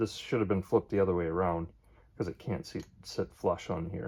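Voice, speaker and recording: Here a man mumbles. His intonation stays fairly even. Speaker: DIY hobbyist vlogger. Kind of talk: casual DIY tutorial. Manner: mumbling; hesitant, many fillers.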